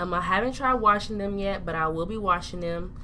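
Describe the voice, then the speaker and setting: Room echo is audible, and background noise is noticeable. A woman speaks at a moderate pace. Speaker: beauty vlogger. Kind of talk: product review. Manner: casual, chatty.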